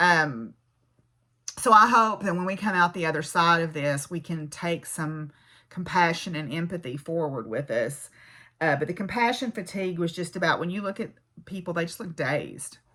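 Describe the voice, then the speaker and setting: A woman with a Southern US accent speaks at a moderate pace in a fairly low pitch, her tone bright and sharp and her pitch varying in an ordinary way. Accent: Southern American. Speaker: physics professor and craft vlogger. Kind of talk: casual vlog monologue. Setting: home farm. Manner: conversational, with fillers and restarts.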